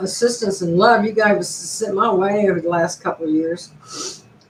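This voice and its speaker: Noticeable background noise runs beneath the voice of a woman as she talks. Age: 60s. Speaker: YouTuber. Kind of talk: casual live stream monologue.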